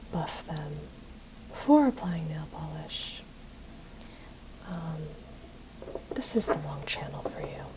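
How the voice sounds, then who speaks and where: A soft-spoken woman talks at a very slow pace with long, frequent pauses amid noticeable background noise. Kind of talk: ASMR, soft-spoken talk to camera while painting nails.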